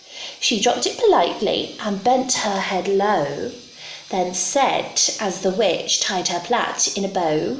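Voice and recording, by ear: A natural voice, reading aloud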